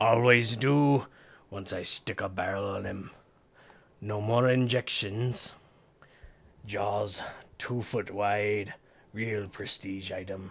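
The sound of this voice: In a gruff put-on character voice at a fairly low pitch, a man speaks very slowly with long, frequent pauses.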